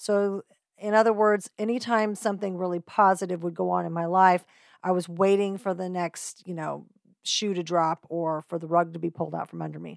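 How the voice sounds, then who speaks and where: A woman with a plain, everyday voice speaks at a moderate pace and fairly low pitch, with fairly even intonation but big swings in loudness. The very clean recording has a silent background and a dry, close sound with no echo. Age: 50s. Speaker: podcast host. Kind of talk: casual monologue.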